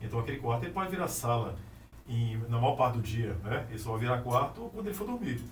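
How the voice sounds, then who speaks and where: A man at a very fast pace with lively intonation, amid noticeable background noise and audible room echo. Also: medium pitch for a man. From Anápolis, Goiás, Brazil. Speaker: architect. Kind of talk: casual interview. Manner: halting, many repetitions.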